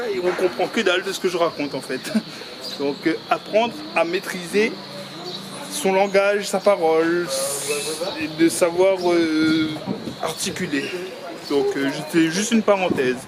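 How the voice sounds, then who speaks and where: A man with a high voice mumbles at a fairly slow pace, with ordinary pitch variation. Long, frequent pauses break up his speech over noticeable background noise. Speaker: vlogger. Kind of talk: casual vlog narration. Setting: outdoors walking in town. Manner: loud; mumbled, poorly articulated.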